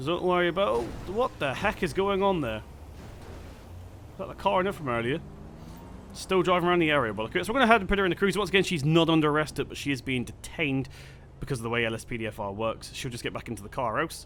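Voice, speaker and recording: In an English accent, the speaker races at a very fast pace with very wide pitch swings, yet leaves long, frequent pauses. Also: man, fairly high pitch for a man. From England. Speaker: gaming YouTuber. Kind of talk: gameplay commentary. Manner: casual, hesitant with fillers.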